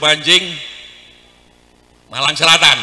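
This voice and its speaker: Background noise is noticeable throughout. The delivery holds a moderate pace. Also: man. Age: 60s. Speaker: Islamic preacher. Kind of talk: sermon. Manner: animated.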